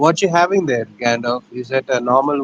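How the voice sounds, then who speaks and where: A man talks with an Indian accent. His pace is fairly slow. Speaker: livestream co-host. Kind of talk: casual chat.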